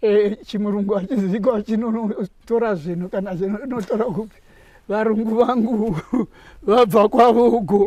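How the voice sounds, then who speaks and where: At a fairly slow pace, a man speaks in a high voice with fairly even intonation. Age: 80s+. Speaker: war veteran. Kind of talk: testimony.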